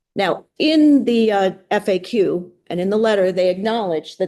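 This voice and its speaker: Against a quiet background, a woman with a medium pitch speaks in a dark, mellow tone. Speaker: state education official. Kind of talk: legislative testimony. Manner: fast.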